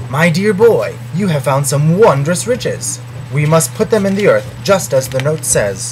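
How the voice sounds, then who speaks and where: A man's put-on character voice, fairly high in pitch, at a moderate pace over clear background noise. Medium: read story. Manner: polite, old-fashioned.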